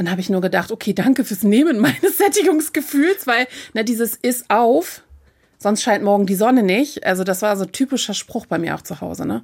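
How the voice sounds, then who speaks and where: In a very clean recording with a silent background, a woman talks at a fairly quick pace in a normal speaking voice, fairly high in pitch. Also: lively intonation. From northern Germany, Hamburg. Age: 40s. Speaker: influencer and plus-size model. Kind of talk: interview.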